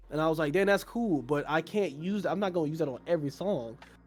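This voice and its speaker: Music plays in the background as a man with an American accent speaks at a very fast pace. His pitch is fairly high and varies in an ordinary way. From US South (Georgia), raised by New Yorkers. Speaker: rapper and singer. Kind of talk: casual chat. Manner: animated.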